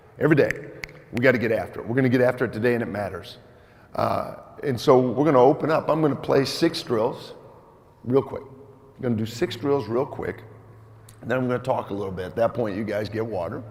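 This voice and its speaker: Against noticeable background noise, a man with a medium-pitched voice and an animated tone talks at a very fast pace, with ordinary pitch variation and long, frequent pauses. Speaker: volleyball coach running a clinic. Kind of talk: coaching clinic presentation. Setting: gym clinic with audience, mic'd up. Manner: loud.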